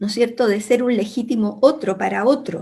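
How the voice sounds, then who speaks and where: A woman speaks in a somewhat breathy voice. Her tone is dark and mellow. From Chile, Santiago. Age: 70s. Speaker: academic. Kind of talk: panel discussion. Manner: hesitant, with fillers.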